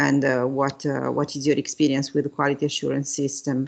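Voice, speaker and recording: A woman with a non-native accent speaks in a very deep, low pitch with flat, monotone intonation. The background is quiet. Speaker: university professor. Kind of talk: lecture. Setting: video call. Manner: halting.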